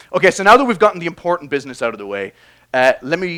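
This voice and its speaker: A very fast-talking man with an Irish accent, vocal fry and very wide pitch swings. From Ireland. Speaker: biology professor. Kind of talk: public science talk. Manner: casual, hesitant with fillers.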